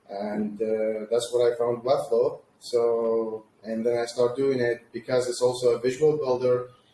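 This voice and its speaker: Amid noticeable background noise, a man talks at a fairly slow pace with hardly any pauses, medium in pitch and monotone, flat in intonation. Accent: Arabic. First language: Arabic. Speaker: agency founder, web designer. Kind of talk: interview.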